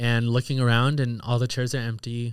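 Very clean audio of a male speaker, the background completely silent. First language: Italian. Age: 30s. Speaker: guest sharing personal story. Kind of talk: casual interview, personal testimony.

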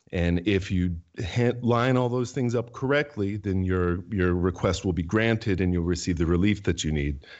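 A man talks at a moderate pace with hardly any pauses and very even loudness. His pitch is very deep and low, with ordinary variation. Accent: American. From New Hampshire, US. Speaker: writer and lawyer. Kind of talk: interview conversation. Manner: hesitant, many ums.

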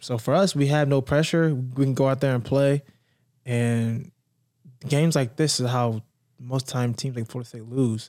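A man's dark, mellow voice at medium pitch, with an American accent, moderate pace and fairly even intonation, on a very clean recording with a silent background. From North Carolina, Raleigh. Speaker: former college football player. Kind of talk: casual sports chat.

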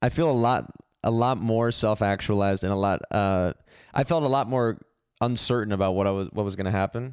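A man with an ordinary speaking voice, fairly low in pitch with ordinary variation, at a fairly quick pace and very even loudness, in a very clean recording with a silent background. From San Francisco, US. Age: 30s. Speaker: comedian. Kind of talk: casual chat.

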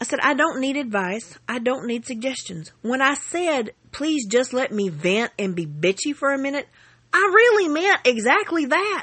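A woman with a Southern US accent speaks at a high pitch and a fairly slow pace, her pitch swinging very widely. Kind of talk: angry rant, reading aloud her own furious parent-group post. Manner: grouchy, blunt and profane, refusing to play nice; exasperated, sarcastic venting with emphatic asides to viewers.

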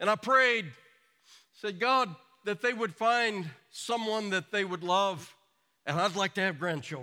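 A man's raised, projected voice, high in pitch and bright and sharp in tone, with lively intonation, a fairly slow pace and long, frequent pauses, on a very clean recording with a silent background. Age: 60s. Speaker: pastor. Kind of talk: sermon.

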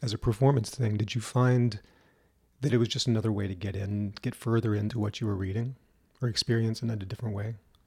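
He talks very fast at a medium pitch. His tone is dark and mellow, and somewhat breathy. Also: fairly even intonation. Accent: American. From Louisiana, US. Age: 50s. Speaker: interviewer, musician.

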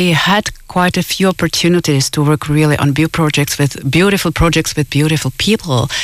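A woman with a Czech accent speaks at a fairly quick pace, with a very deep, low pitch and ordinary pitch variation. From Czech Republic. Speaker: musician. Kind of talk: radio interview. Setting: studio.

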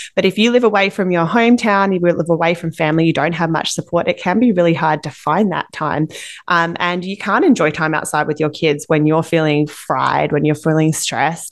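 With an Australian accent, a woman talks at a fairly quick pace and a fairly low pitch with hardly any pauses, over a quiet background. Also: ordinary pitch variation. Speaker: parenting podcast co-host. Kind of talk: casual chat.

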